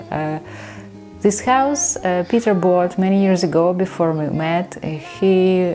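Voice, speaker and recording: A woman talks in a Ukrainian accent at a fairly slow pace. Her voice sits fairly low, with ordinary pitch variation. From Ukraine. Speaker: vlogger. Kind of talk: casual vlog talk to camera. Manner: hesitant, many fillers.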